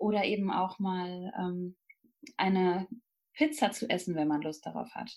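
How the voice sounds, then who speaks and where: Long, frequent pauses break up a woman's fairly slow speech. Her pitch is medium, with ordinary variation. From Germany, Münsterland. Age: 30s. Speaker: nutrition counselor. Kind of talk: interview. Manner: hesitant with many fillers.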